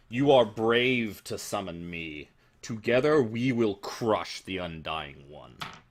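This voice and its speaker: A man speaks in a put-on character voice at a medium pitch, with a rumbling quality. His pace is fairly slow. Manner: ominous.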